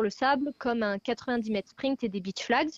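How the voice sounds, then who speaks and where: Recorded dry and close with no echo against a quiet background, a woman speaks in a plain, everyday voice, fairly high in pitch with ordinary variation. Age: 20s. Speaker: athlete. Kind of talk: interview.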